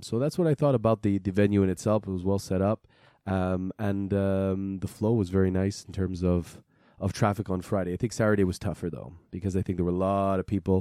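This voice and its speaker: A man speaks at a fairly quick pace in a fairly low pitch, his dark, mellow tone and fairly even intonation caught in a very clean, dry, close recording with a silent background and no echo. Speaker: watch podcast co-host. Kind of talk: casual chat.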